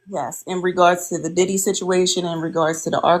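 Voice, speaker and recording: The recording is very clean, with a silent background. A woman with an ordinary speaking voice and fairly low pitch speaks at a moderate pace. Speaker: panelist. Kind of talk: panel discussion.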